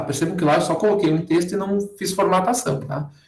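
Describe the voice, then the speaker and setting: A high-pitched male voice with audible room echo over a quiet background. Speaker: university lecturer teaching a workshop. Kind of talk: online tutorial with screen demo. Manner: fast. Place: home room. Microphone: webcam.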